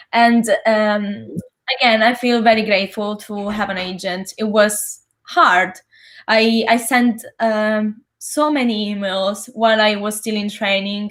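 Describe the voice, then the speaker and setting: A woman speaks at a very slow pace with an Italian accent. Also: fairly even intonation. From Italy (Sicily). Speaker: actor, singer and vocal coach. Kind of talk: interview.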